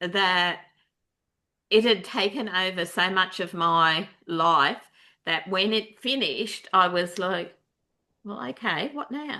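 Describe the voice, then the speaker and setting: With an Australian accent and a bright, sharp tone, a woman of medium pitch speaks at a fairly slow pace with ordinary pitch variation against a quiet background. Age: 60s. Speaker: allied health researcher. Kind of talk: casual chat. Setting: video call.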